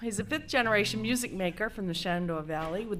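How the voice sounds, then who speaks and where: A woman speaks with lively intonation and a slight Maine accent, and the room echo is audible. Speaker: folk musician. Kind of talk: stage banter between songs. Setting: stage with audience.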